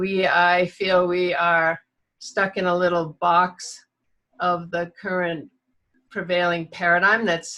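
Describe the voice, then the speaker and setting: Very slowly, a woman with an American accent speaks at a medium pitch in a bright, sharp tone. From New England, US. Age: 70s. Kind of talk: spoken introduction in an online circle. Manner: halting, many fillers.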